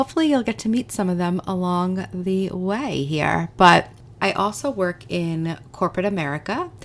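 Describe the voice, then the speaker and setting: A woman's fairly low, fairly slow voice on a very clean recording with a silent background. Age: 40s. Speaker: goal coach and podcast host. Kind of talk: casual podcast monologue. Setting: podcast recording. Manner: animated.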